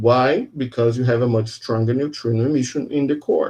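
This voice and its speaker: A man's somewhat breathy voice. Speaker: physics professor. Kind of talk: lecture.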